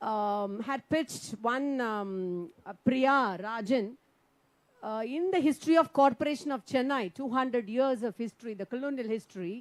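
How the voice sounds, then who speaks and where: The intonation is lively. The pace stays moderate. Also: woman, high pitch for a woman. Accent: Tamil. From India, Tamil Nadu. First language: Tamil. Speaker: member of parliament, poet. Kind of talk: speech at round table. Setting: conference with audience.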